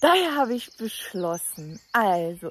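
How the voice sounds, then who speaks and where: A woman speaks, and the sound is dry with no echo. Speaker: travel vlogger. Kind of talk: casual vlog chat. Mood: cheerful, laughing. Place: waterside. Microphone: phone near.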